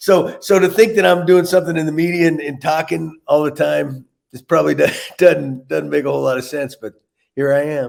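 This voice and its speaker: A fairly high-pitched male voice with ordinary pitch variation and big swings in loudness. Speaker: former baseball manager. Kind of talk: interview. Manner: fast; hard to understand.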